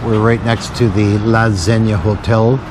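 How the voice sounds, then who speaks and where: A man is speaking, and noticeable background noise can be heard throughout. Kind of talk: casual vlog talk to camera.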